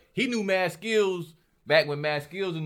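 In a normal speaking voice, a man talks at a moderate pace with lively intonation. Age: 40s. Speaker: hip-hop artist. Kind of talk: casual chat.

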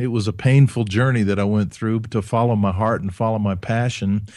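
A man has an unremarkable speaking voice at a medium pitch, with fairly even intonation and hardly any pauses. The recording is very clean, with a silent background. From US South, Alabama (Huntsville), German-speaking home. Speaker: leadership author and speaker. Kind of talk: interview.

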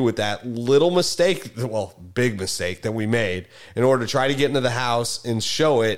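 A man with a medium pitch and ordinary pitch variation talks at a fairly quick pace with hardly any pauses. The recording is very clean, with a silent background. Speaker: podcast host and real estate agent. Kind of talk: casual chat. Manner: animated, conversational storyteller.

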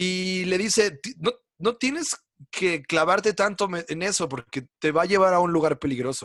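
In a Mexican accent, a man speaks with lively intonation at a high pitch and a moderate pace, the sound dry and close with no echo. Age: 30s. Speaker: comedy writer. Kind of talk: casual chat. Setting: video call.

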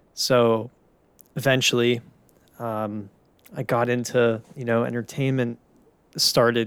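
A fairly slow, monotone, flat delivery with an American accent, in a very clean recording with a silent background. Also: man. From Pittsburgh, US. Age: 20s. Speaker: podcast host. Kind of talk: solo monologue.

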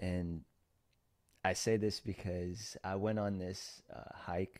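A man's very deep, low voice with fairly even intonation on a very clean recording with a silent background. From Philippines, then US from age six. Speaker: entrepreneur and podcast host. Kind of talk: interview.

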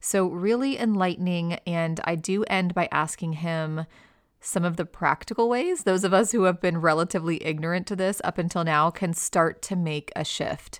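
Recorded very cleanly against a silent background, a woman with a fairly low pitch speaks at a moderate pace with ordinary pitch variation. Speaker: podcast host. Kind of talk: interview; scripted narration.

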